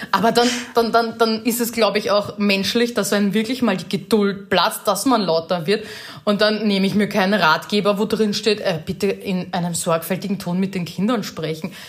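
A moderate pace with an Austrian accent and fairly even intonation, over noticeable background noise. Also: woman, medium pitch for a woman. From Lower Austria, rural. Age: 30s. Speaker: social media influencer and mother. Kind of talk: casual chat.

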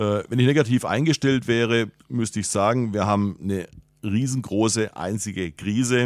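In a very clean, dry, close recording with no echo and a silent background, a man speaks in a plain, everyday voice at medium pitch and a moderate pace, with ordinary pitch variation. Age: 60s. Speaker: head of sales. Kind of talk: interview. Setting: studio.

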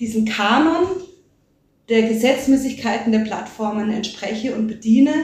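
Somewhat breathy and fairly high-pitched, a woman speaks at a moderate pace with audible room echo. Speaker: media and performance artist. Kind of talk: interview.

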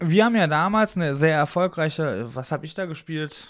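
A plain, everyday voice from a man, fairly high in pitch with lively intonation at a moderate pace, on a very clean recording with a silent background. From Oberbergischer Kreis, western Germany. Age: 30s. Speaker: podcast host. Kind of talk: casual interview.

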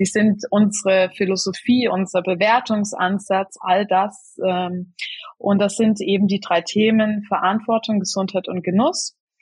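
A woman talks at a fairly slow pace in a medium pitch. Her voice is somewhat breathy, with fairly even intonation. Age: 30s. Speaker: head of a food-service sustainability initiative. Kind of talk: podcast interview. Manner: hesitant, many filler sounds.

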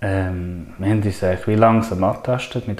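A man's fairly low-pitched voice at a moderate pace, fairly even in intonation, with noticeable background noise. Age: 30s. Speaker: nature and wilderness trainer. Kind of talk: casual interview.

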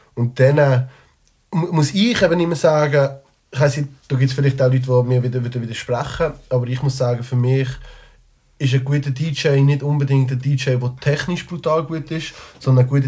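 This man's voice is medium in pitch, somewhat breathy, with a dark, mellow tone. He talks at a moderate pace with fairly even intonation, on a very clean recording with a silent background. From Switzerland, Liestal (Basel-Landschaft). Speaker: rapper. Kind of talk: casual chat. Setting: studio.

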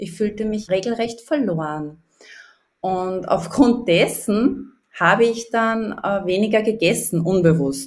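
Very slowly, a woman talks with a slight Upper Austrian accent and ordinary pitch variation. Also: medium pitch for a woman. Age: 40s. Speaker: life coach. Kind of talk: interview.

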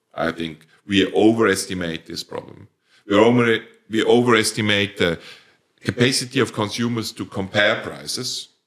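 Speaking at a fairly slow pace with a Swiss-German accent, a man has a fairly low voice, ordinary pitch variation and big swings in loudness. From Switzerland. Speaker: company founder, plant breeder. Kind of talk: professional interview, podcast.

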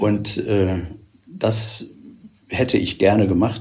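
A somewhat breathy voice speaks with monotone, flat intonation. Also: man. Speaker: retired church official, former bishop's aide. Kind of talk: podcast interview.

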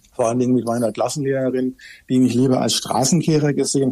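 Noticeable background noise surrounds a man's voice. His intonation is fairly even. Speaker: judge. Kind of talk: podcast interview. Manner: hesitant, many fillers.

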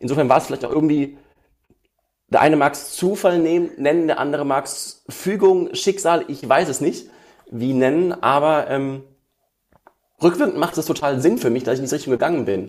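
Speech moves at a moderate pace, with ordinary pitch variation. Long, frequent pauses break it up. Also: man. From Ruhr area, western Germany (Essen). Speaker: emotion coach and musician. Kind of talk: interview. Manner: hesitant with fillers.

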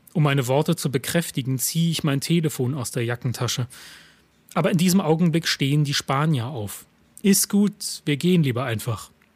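Somewhat breathy, the voice has lively intonation and a moderate pace. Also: man. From eastern Germany, Lusatia (Saxony). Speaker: writer and stage reader. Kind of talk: reading aloud own texts.

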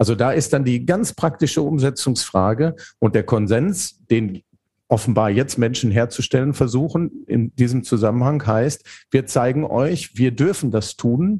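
A man talks at a moderate pace and medium pitch with lively intonation. His voice has a dark, mellow tone and is somewhat breathy. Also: very even loudness. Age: 50s. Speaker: theologian and leadership coach. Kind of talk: podcast interview.

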